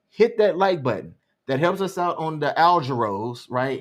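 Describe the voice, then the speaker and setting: On a very clean recording with a silent background, a man with an Alabama accent speaks at a moderate pace in a high pitch, his intonation lively. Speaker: live stream co-host. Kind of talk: casual chat. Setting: live stream.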